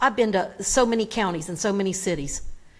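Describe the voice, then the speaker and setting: Here a woman speaks with a Southern US accent. The recording is very clean, with a silent background. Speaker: public commenter at council meeting. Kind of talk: public comment speech. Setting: council chamber PA microphone. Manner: animated.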